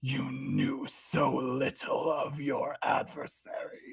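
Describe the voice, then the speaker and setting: A put-on character voice growls and hisses in a menacing tone. The pace is very slow. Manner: hissing, menacing.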